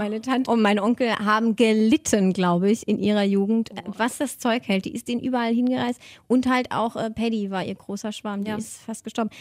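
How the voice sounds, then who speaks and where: The delivery comes in a plain, everyday voice at a fairly quick pace, with fairly even intonation and hardly any pauses. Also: woman, fairly high pitch for a woman. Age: 20s. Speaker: podcast co-host. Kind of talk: casual chat.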